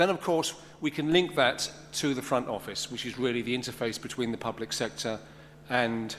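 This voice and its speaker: Through audible room echo, a man with a London accent talks at a fairly quick pace with ordinary pitch variation. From London, England. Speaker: conference speaker. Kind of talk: conference presentation.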